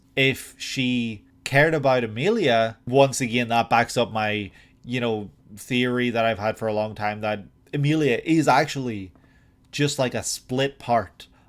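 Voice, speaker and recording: With an Irish accent, a man speaks at a fairly slow pace. The recording is very clean, with a silent background. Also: medium pitch for a man, ordinary pitch variation. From Ireland. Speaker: anime reaction youtuber. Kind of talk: reaction analysis monologue. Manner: halting.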